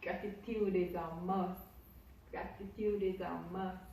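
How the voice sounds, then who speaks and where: A woman's medium-pitched voice with a strong Jamaican accent, very slow and monotone with flat intonation, plus audible room echo and noticeable background noise. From Jamaica, Hanover parish. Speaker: YouTuber. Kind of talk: casual vlog.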